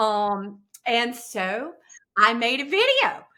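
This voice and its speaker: The voice has a Southern US accent and a bright, sharp tone. Its intonation is lively. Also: woman. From US South, upstate South Carolina. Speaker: actress and comedy creator. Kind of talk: podcast interview. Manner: hesitant fillers, um and uh.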